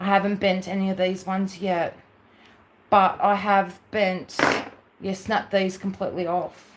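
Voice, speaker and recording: A woman talks fairly slowly at a medium pitch, leaving long, frequent pauses. Her intonation is monotone and flat. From Australia, New South Wales. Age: 40s. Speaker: craft livestreamer. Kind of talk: casual livestream chat.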